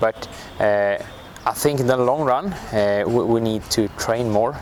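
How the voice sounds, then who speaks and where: A man with fairly even intonation talks at a fairly slow pace while noticeable background noise sits behind him. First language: not English. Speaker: national football team coach. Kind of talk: interview. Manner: halting.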